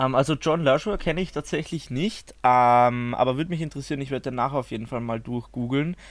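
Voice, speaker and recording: A man with an Austrian accent talks at a fairly quick pace and a medium pitch, with ordinary pitch variation, hardly any pauses, and a very clean recording over a silent background. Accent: Austrian-sounding German. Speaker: YouTuber and video artist. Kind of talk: casual chat.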